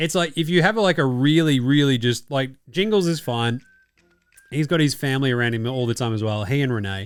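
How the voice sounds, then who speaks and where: With an Australian accent, the speaker talks fairly quickly with lively intonation. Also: man. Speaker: sports podcast host. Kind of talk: casual chat. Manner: casual, swearing.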